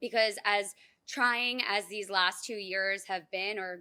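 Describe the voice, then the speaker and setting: A woman speaks loudly at a medium pitch and a fairly slow pace, her tone bright and sharp. Her intonation is fairly even, and the recording is very clean with a silent background. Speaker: graduating dental resident. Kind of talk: graduation speech. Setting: outdoor ceremony.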